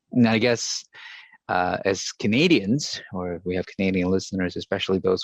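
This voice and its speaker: The sound is dry and close, with no echo. The speech moves at a moderate pace with ordinary pitch variation. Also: man. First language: not English. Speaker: podcast host. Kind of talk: interview.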